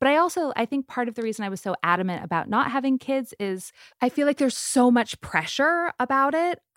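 With an American accent, a woman speaks at a fairly quick pace in a high voice that swings very widely in pitch, on a very clean recording with a silent background. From US West Coast, San Diego. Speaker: media entrepreneur. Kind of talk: casual interview.

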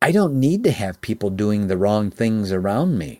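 In an American accent, a man speaks at a moderate pace and a fairly low pitch in a normal speaking voice, on a very clean recording with a silent background. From Chicago area, US Midwest. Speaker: entrepreneur and business consultant. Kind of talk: interview.

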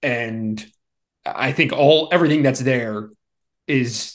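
In an American accent, a man with an unremarkable speaking voice talks at medium pitch and a fairly slow pace against a quiet background. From Philadelphia, US Northeast. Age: 40s. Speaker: sportswriter. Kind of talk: casual interview.

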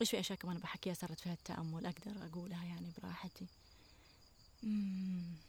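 A woman speaks at a fairly quick pace in a somewhat breathy, fairly low voice. Her intonation is monotone and flat. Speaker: natural products entrepreneur and cookbook author. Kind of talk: casual chat. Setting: outdoors on a farm.

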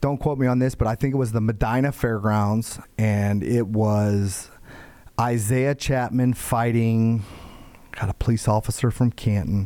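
An American accent at a fairly slow pace with fairly even intonation, on a very clean recording with a silent background. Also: man, medium pitch for a man. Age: 40s. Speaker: mixed martial arts promoter. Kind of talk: casual interview. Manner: halting.

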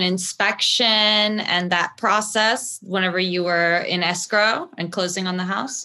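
A woman speaks with a bright, sharp tone and fairly even intonation, hardly pausing at all. The recording is very clean, with a silent background. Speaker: guest podcast host. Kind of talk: interview.

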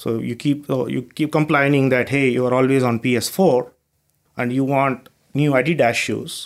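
A man with an Indian accent speaks at a medium pitch with fairly even intonation, in a very clean recording with a silent background. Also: moderate pace. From southern India. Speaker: startup co-founder and CEO. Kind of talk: casual interview chat.

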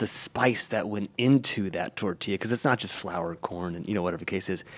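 This man speaks very fast. The movement of his pitch is ordinary. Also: hardly any pauses. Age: 40s. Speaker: podcast host and personal trainer. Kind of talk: casual chat.

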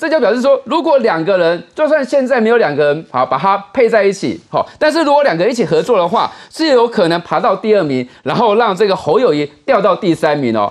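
Man with a Taiwanese accent, high in pitch with very wide pitch swings, at a fairly quick pace. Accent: Taiwanese Mandarin. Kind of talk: political talk show panel.

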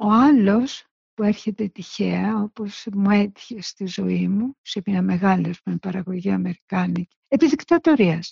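At a fairly slow pace, a woman speaks in a somewhat breathy, medium-pitched voice with ordinary pitch variation and a dry, close sound with no echo. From Greece, Salamina. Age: 70s. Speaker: visual artist. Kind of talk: interview recollection.

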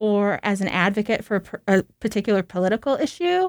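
A woman talks with lively intonation in a plain, everyday voice. The sound is dry and close, with no echo. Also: very clean recording, silent background. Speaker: cancer patient advocate and speaker. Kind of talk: storytelling. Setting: studio.

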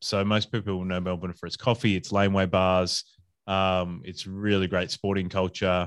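A man with an Australian accent speaks at a moderate pace in a very deep, low, monotone voice. The sound is dry and close with no echo, and the background is quiet. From Adelaide, South Australia. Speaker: podcast host and hospitality consultant. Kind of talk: casual interview chat.

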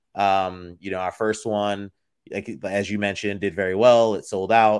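The recording is very clean with a silent background, carrying a man's fairly low, monotone voice with flat intonation at a moderate pace. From Florida, born in the Bronx, New York. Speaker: footwear designer and entrepreneur. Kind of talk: interview.

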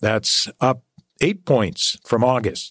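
A man with a Canadian accent talks at a fairly slow pace in a normal speaking voice. The sound is dry and close, with no echo. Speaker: fill-in radio talk show host. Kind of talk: call-in talk radio. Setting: radio studio.

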